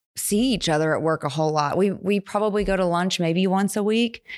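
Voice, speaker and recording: A plain, everyday voice from a woman at medium pitch, with an American accent, ordinary pitch variation and a moderate pace, on a very clean recording with a silent background. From West Virginia / Pittsburgh area. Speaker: business professor. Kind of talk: casual chat. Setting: studio.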